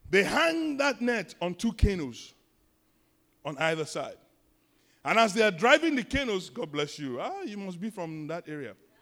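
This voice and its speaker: With a Nigerian accent, a man speaks in a high, bright, sharp voice with very wide pitch swings, big swings in loudness and long, frequent pauses, on a very clean recording with a silent background. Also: moderate pace. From Nigeria, Lagos. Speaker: pastor. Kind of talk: sermon. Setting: church.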